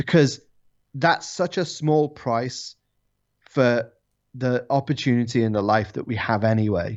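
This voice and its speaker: Pausing long and often, a man with an English accent speaks with ordinary pitch variation. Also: medium pitch for a man, fairly slow pace. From England. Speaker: drifting YouTuber. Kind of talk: casual chat. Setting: video call.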